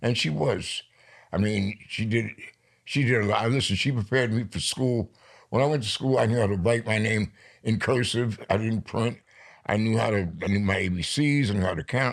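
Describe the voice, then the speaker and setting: A man with a plain, everyday voice, medium pitch, moderate pace and ordinary pitch variation, in a very clean recording with a silent background. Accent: American. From New York. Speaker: poet. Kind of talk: interview.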